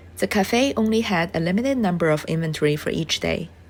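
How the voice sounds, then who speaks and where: With music in the background, a woman with a non-native accent talks at a fairly quick pace in a fairly low pitch, her intonation lively. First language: not English. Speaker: travel vlogger. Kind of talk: scripted voiceover narration.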